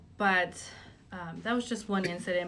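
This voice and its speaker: Bright and sharp in tone, a woman speaks at a fairly low pitch with fairly even intonation. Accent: Spanish. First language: Spanish. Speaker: high school guidance counselor. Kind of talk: interview.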